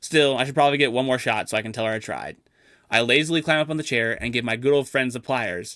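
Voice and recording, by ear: Reading aloud in a natural voice, the speaker's pitch varies in an ordinary way.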